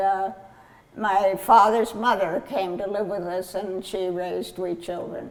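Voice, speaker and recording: With an American accent, the speaker talks very slowly and with fairly even intonation over noticeable background noise. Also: woman. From California (Kern County), US West. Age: 90s. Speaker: grape grower. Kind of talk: oral history interview. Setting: at the vineyard. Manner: halting, many fillers.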